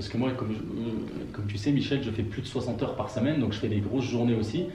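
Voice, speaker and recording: A man at a very fast pace with ordinary pitch variation, amid audible room echo and noticeable background noise. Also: medium pitch for a man. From France, Burgundy (Auxerre, Yonne). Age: 40s. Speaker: network marketer and gas agency manager. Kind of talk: interview. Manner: hesitant, with many fillers.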